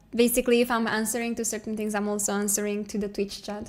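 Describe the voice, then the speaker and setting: A woman with a Romanian accent on a very clean recording with a silent background. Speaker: digital artist streamer. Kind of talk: casual live stream chat. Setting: live stream. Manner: relaxed, hesitant with fillers.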